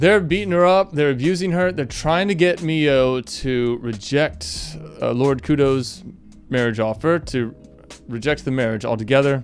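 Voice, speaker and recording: Someone speaks at a moderate pace with faint music in the background. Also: man. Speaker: anime review vlogger. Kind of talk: casual review commentary. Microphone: studio mic.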